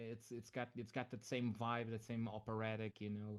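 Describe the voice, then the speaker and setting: The background stays quiet. A man talks at a medium pitch. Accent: Portuguese. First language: Portuguese. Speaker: music reviewer. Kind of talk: casual chat. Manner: halting.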